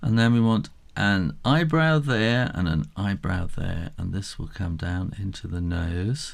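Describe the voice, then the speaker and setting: Speaking slowly-ish at a fairly slow pace, a man with a British accent uses a fairly low pitch and lively intonation. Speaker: drawing tutor. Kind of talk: tutorial. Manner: casual.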